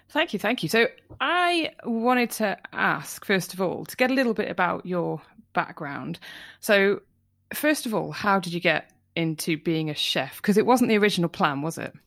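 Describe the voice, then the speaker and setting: Recorded very cleanly against a silent background, a woman with a Welsh accent speaks at a moderate pace and medium pitch with lively intonation. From North Wales. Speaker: podcast host. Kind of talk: interview.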